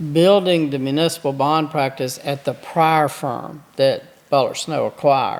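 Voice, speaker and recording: A man with a Mississippi accent and fairly high pitch, at a fairly slow pace with ordinary pitch variation, over noticeable background noise. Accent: Mississippi Southern US. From US South, southeast Mississippi. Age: 70s. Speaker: attorney. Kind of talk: podcast interview.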